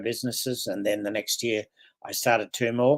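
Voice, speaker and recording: A man in an Australian accent, medium in pitch with monotone, flat intonation, on a very clean recording with a silent background. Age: 80s+. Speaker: business mentor and entrepreneur. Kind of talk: interview.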